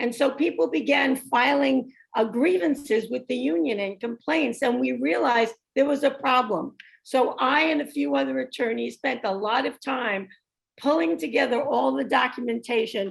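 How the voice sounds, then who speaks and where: The speaker uses a New York accent, lively intonation and a moderate pace. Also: woman, high pitch for a woman. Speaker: retired labor attorney. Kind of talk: workshop presentation.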